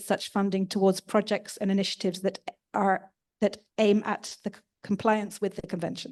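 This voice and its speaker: Against a quiet background, a woman speaks fairly quickly in a medium pitch with fairly even intonation. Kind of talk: workshop presentation. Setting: workshop with audience. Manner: fast.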